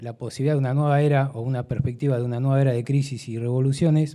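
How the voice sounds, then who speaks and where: Here a man talks at medium pitch. His tone is dark and mellow, his intonation monotone and flat. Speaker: audience member asking a question. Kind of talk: audience question at a debate. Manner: fast.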